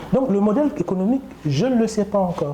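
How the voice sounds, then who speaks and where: Against noticeable background noise, a man speaks with lively intonation. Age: 60s. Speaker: doctor running a wound clinic. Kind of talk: interview during clinic tour. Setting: in a clinic.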